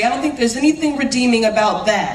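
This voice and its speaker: Over noticeable background noise, the voice is loud, with ordinary pitch variation. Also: woman. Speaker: city councilor. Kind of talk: award acceptance speech. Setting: stage with audience. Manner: passionate.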